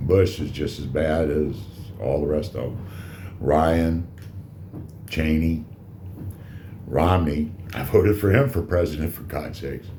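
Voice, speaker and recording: A loud man with a very deep, low pitch speaks fairly slowly, with long, frequent pauses and ordinary pitch variation. His tone is dark and mellow, with vocal fry and audible room echo. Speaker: cigar reviewer and vlogger. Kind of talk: casual monologue vlog. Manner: halting, many fillers.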